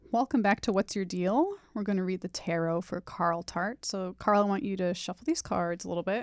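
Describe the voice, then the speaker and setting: An ordinary speaking voice from a woman with an American accent, medium pitch, ordinary pitch variation, a fairly quick pace and hardly any pauses, in a dry, close sound with no echo. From Los Angeles, San Fernando Valley. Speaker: podcast host and tarot reader. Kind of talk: tarot reading conversation.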